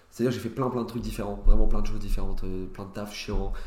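Amid audible room echo, a man rattles along at a very fast pace with vocal fry. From France, Nancy (Lorraine). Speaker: stand-up comedian. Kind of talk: casual chat.

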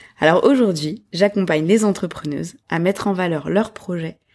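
On a very clean recording with a silent background, a woman speaks at a fairly slow pace in a dark, mellow tone, her pitch fairly low with ordinary variation. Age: 30s. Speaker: podcast host, graphic designer. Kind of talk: solo podcast monologue. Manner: hesitant with fillers.

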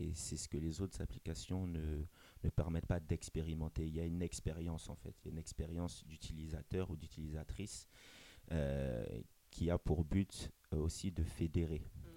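A man speaks at a moderate pace with a very deep, low pitch. His tone is dark and mellow, and his intonation stays monotone and flat. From Gabon and Benin heritage. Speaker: dating app co-founder. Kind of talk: interview. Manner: halting, repeats words.

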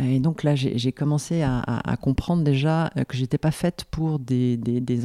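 A woman speaks at a fairly slow pace in a very deep, low voice with a dark, mellow tone and fairly even intonation. The recording is very clean, dry and close, with a silent background and no echo. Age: 50s. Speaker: business growth consultant. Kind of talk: interview conversation. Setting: at the guest's home. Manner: halting, many repetitions and fillers.

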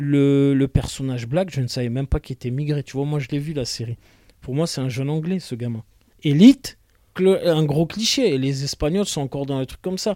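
A man with a fairly high pitch and a dark, mellow tone speaks at a moderate pace with ordinary pitch variation. The recording is very clean, with a silent background and a dry, close sound with no echo. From southern France (Marseille). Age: 40s. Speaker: actor and screenwriter, former police officer. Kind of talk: interview chat.

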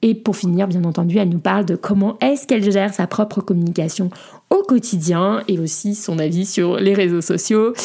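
This woman's voice is dark and mellow, medium in pitch, with ordinary pitch variation and a moderate pace. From France. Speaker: podcast host, community manager. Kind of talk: casual interview; scripted intro.

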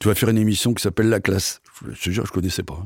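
Very fast speech from a man, dry and close with no echo, on a very clean recording with a silent background. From northern France (Picardy). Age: 70s. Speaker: accordionist and variety artist. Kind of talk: casual interview, storytelling.

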